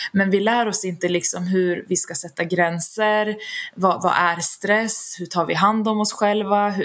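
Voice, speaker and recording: The voice moves at a fairly slow pace with fairly even intonation. Background noise is noticeable. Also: woman, medium pitch for a woman. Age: 30s. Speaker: HR specialist and founder of a stress-prevention organization. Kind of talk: interview.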